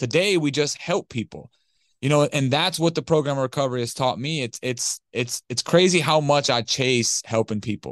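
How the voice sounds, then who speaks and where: In an ordinary speaking voice with an American accent, the speaker goes at a moderate pace with ordinary pitch variation. The sound is dry and close with no echo, over a quiet background. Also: man. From Detroit, Michigan. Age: 30s. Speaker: recovering addict and business owner. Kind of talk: podcast interview testimony.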